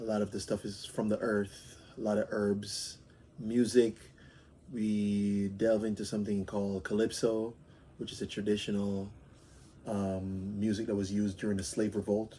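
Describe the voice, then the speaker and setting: A man's fairly low, dark and mellow voice moves at a moderate pace in a flat monotone. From Jamaica, Montego Bay. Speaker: interviewee, immigrant. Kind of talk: interview answers. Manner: hesitant, with fillers.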